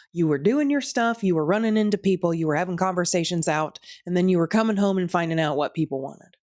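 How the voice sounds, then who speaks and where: Speaking at a very fast pace, a woman uses a fairly low pitch. The recording is very clean, with a silent background. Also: lively intonation, hardly any pauses. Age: middle-aged. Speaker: vlogger. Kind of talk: casual chat. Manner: rambling.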